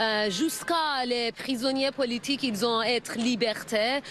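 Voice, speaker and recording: Against noticeable background noise, a speaker with a non-native accent talks at a very slow pace with fairly even intonation. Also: woman. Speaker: protester. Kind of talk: street interview. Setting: outdoors. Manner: halting.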